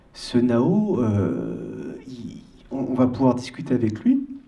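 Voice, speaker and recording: A man is speaking. His intonation is lively. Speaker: audience member. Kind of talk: audience question. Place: hall. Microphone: handheld.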